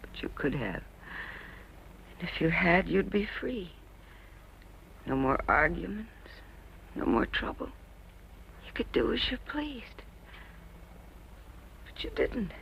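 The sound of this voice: Putting on a character voice, a woman talks slowly with long, frequent pauses, her fairly low pitch swinging widely under a fairly bright tone with vocal fry.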